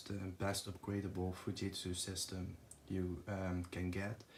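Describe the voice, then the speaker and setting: A man's somewhat breathy voice moves along at a very slow pace. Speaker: tech youtuber. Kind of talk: tutorial. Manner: halting, many fillers.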